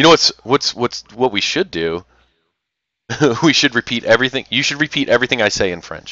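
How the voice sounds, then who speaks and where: A man with vocal fry and a medium-pitched voice talks at a fairly quick pace with lively intonation, yet leaves long, frequent pauses. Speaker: esports commentator. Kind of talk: live game commentary. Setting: livestream. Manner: loud.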